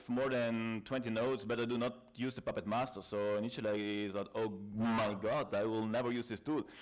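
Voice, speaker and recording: A man with a South Tyrolean accent, medium in pitch, at a moderate pace with fairly even intonation, against a quiet background. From South Tyrol, northern Italy. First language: German dialect and Italian. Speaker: IT consultant and trainer. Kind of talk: conference talk. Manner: halting, with fillers.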